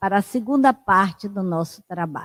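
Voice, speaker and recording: Dry, close sound without echo, plus normal variation in pitch. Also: woman. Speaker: session moderator at spiritist center. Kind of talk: closing remarks. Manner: soft-spoken.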